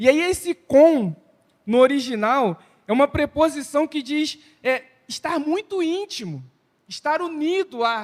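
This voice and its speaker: A man with an extremely high pitch, a fairly slow pace and long, frequent pauses, in a dry, close sound with no echo. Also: lively intonation. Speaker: preacher. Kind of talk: church sermon.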